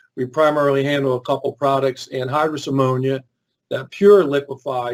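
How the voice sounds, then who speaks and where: Speaking with a Philadelphia accent, a man holds a medium pitch in a monotone, flat delivery. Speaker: chemical industry safety expert. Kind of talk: webinar presentation. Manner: hesitant, many fillers and repeats.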